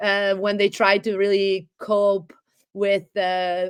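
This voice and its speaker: The speaker goes at a fairly slow pace in a very clean recording with a silent background. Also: woman. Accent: Italian. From Italy. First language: Italian. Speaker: economist and historian. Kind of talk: interview. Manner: articulate, fluent.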